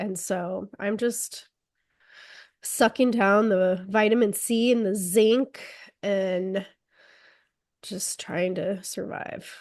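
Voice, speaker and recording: Against a quiet background, the speech goes at a very slow pace with fairly even intonation and long, frequent pauses. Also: woman, medium pitch for a woman. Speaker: podcast co-host. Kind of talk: casual chat.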